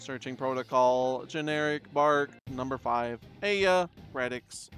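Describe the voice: Faint music sits in the background as a man does a put-on character voice at a fairly slow pace and a medium pitch.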